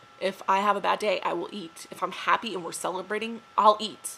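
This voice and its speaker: Against noticeable background noise, a woman with an American accent talks at a fairly quick pace in a medium pitch. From upstate New York. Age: 20s. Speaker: reality show applicant. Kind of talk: audition video monologue. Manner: rambling, hesitant with fillers.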